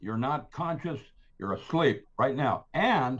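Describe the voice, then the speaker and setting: A somewhat breathy man's voice. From Philippines. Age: 80s+. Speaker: scientist and author. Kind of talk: casual interview. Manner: rambling, animated.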